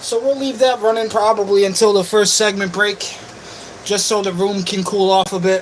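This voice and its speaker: Someone with a New England accent speaks at a moderate pace over noticeable background noise. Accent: Yankee. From Western New York, Buffalo. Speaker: livestreamer. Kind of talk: casual livestream chat.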